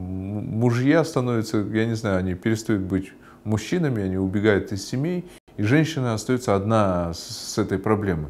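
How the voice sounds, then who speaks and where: With lively intonation, a man speaks at a moderate pace and fairly low pitch. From Kyrgyzstan. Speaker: member of parliament. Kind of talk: explanatory monologue; interview answer. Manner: halting. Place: office. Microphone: lapel.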